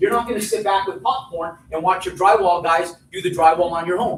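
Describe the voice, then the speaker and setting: Audible room echo hangs around the speech. It belongs to a man talking very fast. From New Mexico. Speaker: real estate developer and teacher. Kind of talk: live seminar talk. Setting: stage with audience. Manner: loud; animated.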